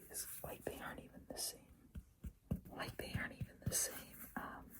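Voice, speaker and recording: A woman whispering at a fairly quick pace. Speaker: tennis player. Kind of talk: ASMR show-and-tell to camera. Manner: whispered, soft-spoken.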